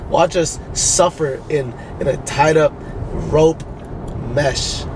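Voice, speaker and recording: A man talks with ordinary pitch variation in a dry sound with no echo, over light background noise. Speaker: vlogger's friend. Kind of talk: casual vlog chat. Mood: playful teasing. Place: car. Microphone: phone near.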